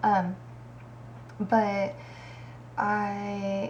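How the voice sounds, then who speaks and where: In a room with audible echo, a woman speaks with an American accent. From Kansas, US Midwest. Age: 30s. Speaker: aspiring bodybuilder, vlogger. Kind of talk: casual vlog monologue. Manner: hesitant, many fillers.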